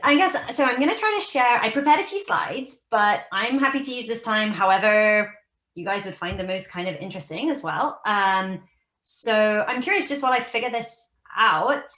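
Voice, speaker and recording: A woman with a British accent speaks at a moderate pace, her pitch swinging very widely. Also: fairly high pitch for a woman. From United Kingdom. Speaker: research scientist. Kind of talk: casual talk on a video call. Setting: video call.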